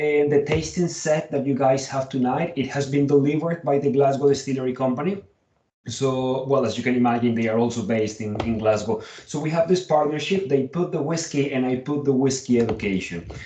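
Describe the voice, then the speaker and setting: A man with a Colombian accent speaks at a moderate pace in a fairly high pitch with ordinary pitch variation. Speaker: whisky educator and tour business owner. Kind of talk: online tasting presentation. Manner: hesitant, many fillers.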